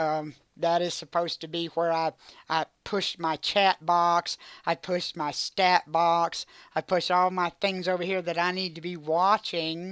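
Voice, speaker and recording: With a dry, close sound, no echo and a silent background in a very clean recording, a woman speaks in a fairly low voice at a fairly slow pace with flat, monotone intonation. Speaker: retro gaming streamer. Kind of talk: casual live stream monologue. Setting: home streaming setup. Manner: halting; loud.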